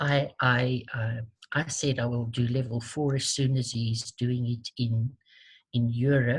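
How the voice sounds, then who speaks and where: In a South African accent, a woman talks very slowly in a very deep, low voice that is somewhat breathy. Her intonation is monotone and flat, and the recording is very clean with total silence behind it. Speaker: tapping therapy practitioner. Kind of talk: interview. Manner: hesitant, many fillers and repeats.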